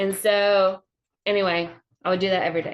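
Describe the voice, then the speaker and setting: Moderate pace and fairly even intonation in a Southern accent. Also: woman. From US South, Georgia. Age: 40s. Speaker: comedian. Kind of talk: casual chat. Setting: livestream.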